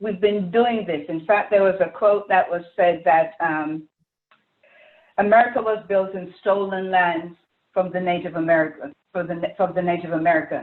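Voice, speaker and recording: A woman speaks at a moderate pace with a passionate tone, a medium pitch, and fairly even intonation. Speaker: community activist, panelist. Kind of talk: panel discussion.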